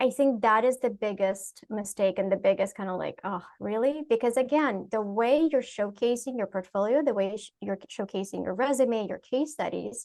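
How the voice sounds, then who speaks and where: At a moderate pace with hardly any pauses, the speaker uses ordinary pitch variation in a non-native accent. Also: woman, fairly high pitch for a woman. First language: not English. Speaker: UX professional. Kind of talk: panel discussion.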